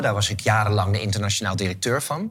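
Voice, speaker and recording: The voice belongs to a man and sits fairly low in pitch. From Netherlands, Haarlem. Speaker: event organizer and author. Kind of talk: interview.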